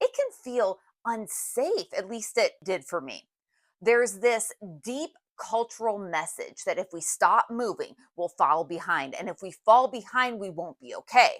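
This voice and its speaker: A woman with an unremarkable speaking voice talks at a fairly slow pace, her fairly high pitch moving with lively intonation and big swings in loudness. The very clean recording has a silent background and a dry, close sound with no echo. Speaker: wellness podcast host. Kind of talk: reflective monologue.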